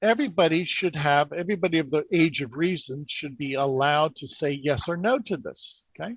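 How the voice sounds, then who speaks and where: A man talks at a fairly quick clip in a fairly high pitch, his pitch varying an ordinary amount, with a plain, everyday voice over a quiet background. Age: 60s. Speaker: energy healing practitioner. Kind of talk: interview.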